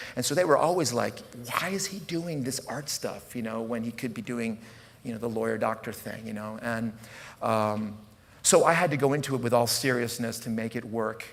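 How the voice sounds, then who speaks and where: Audible room echo surrounds a man talking at a moderate pace. His pitch is medium. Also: ordinary pitch variation. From US, rural area, Italian immigrant family. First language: Italian. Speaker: puppet troupe director and artist. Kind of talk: conference talk. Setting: stage with audience. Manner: improvised, halting with fillers.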